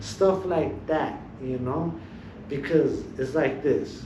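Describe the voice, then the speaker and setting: A medium-pitched man with an American accent, with audible room echo and noticeable background noise. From Los Angeles, San Fernando Valley. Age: 20s. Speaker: teacher aide and former gang member. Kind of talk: podcast interview. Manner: casual, repetitive hedging.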